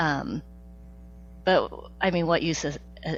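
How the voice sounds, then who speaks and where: Music plays in the background as a woman speaks with a General American accent. Her pitch is very deep and low, and her intonation is fairly even. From Topeka, Kansas. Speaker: author and educator. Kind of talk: interview answer.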